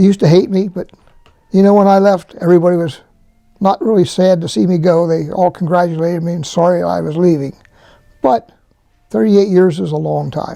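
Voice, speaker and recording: With a Central Pennsylvania accent, a man talks at a fairly quick pace in a high pitch, his dark, mellow tone carrying ordinary pitch variation. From Harrisburg, Pennsylvania. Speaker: retired fire department administrative assistant. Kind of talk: interview answer.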